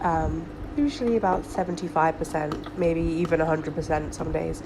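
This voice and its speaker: Her voice sits fairly low. Noticeable background noise can be heard around the woman. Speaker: hobby aquarist. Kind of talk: tutorial talk to camera. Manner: casual, many filler ums.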